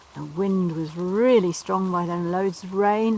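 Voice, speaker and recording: Over noticeable background noise, a woman with a fairly low pitch speaks at a fairly slow pace with fairly even intonation. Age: 70s. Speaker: environmental campaigner, charity walker. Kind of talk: casual talk to camera. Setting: outdoors.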